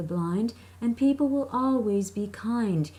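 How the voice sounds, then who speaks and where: A woman's somewhat breathy voice with a dark, mellow tone and lively intonation. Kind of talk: poetry reading.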